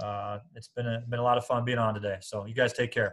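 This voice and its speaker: The speaker is a man with medium pitch. He keeps a fairly quick pace. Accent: Midwestern American. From Iowa, Des Moines. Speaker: college basketball coach. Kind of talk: casual interview.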